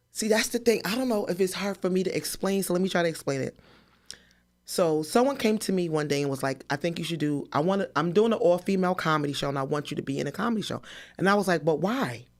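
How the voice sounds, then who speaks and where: Very fast and animated, a woman with a fairly low pitch speaks with lively intonation on a very clean recording with a silent background. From New Jersey, Paterson. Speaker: comedian. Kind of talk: interview. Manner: loud.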